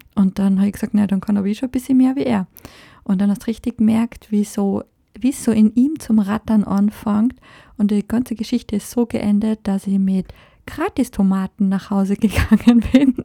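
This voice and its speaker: This woman's fairly high, somewhat breathy voice has a dark, mellow tone and fairly even intonation at a moderate pace, recorded very cleanly against a silent background with a dry, close sound and no echo. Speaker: podcast host. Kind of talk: solo podcast monologue. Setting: recording in France.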